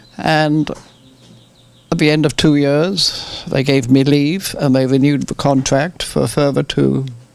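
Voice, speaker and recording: A man with an English accent speaks at a fairly high pitch and a fairly slow pace. His intonation is fairly even, with noticeable background noise behind him. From England. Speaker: retired farmer, war veteran. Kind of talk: interview. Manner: halting.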